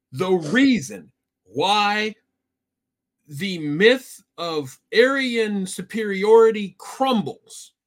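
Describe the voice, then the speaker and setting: The speaker is a man with a high voice. He uses lively intonation. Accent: Midwestern US. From Iowa. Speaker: podcast co-host. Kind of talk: casual chat.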